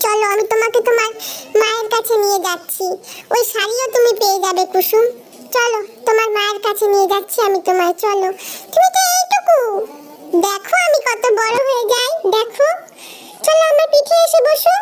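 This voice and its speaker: In a cartoonish character voice, a woman speaks at a moderate pace with extremely high pitch while background noise is clearly heard. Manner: gentle, kindly.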